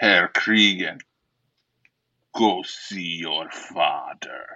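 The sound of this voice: A put-on character voice growls with a German accent. The pace is very slow. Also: man.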